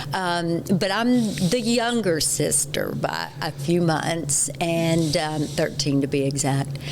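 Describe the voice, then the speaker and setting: A woman with a Texas accent speaks very slowly with hardly any pauses, her pitch very deep and low, amid noticeable background noise and audible room echo. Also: lively intonation. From West Texas. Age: 60s. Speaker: patient. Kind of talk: testimony in casual interview.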